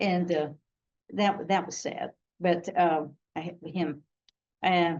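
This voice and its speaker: A woman speaks very slowly in a fairly low voice. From Missouri, US Midwest. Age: 80s+. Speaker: retired drama teacher. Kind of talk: storytelling. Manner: animated.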